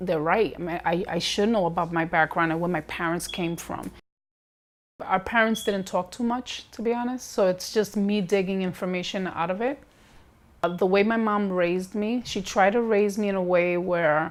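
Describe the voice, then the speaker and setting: Speaking at a moderate pace, a woman with a New York accent uses a medium pitch. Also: very clean recording, silent background. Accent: New York American English. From New York, Bronx. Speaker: documentary interviewee. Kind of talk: interview testimony.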